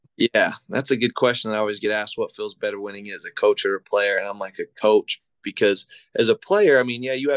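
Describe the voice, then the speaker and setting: A man with an American accent at a moderate pace, dry and close with no echo, over a quiet background. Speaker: high school football coach. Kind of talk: casual interview chat.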